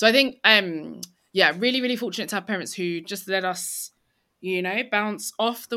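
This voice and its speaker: A bright, sharp voice with a London accent, ordinary pitch variation and a moderate pace, on a very clean recording with a silent background. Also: woman. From East London. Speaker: tech author. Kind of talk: interview.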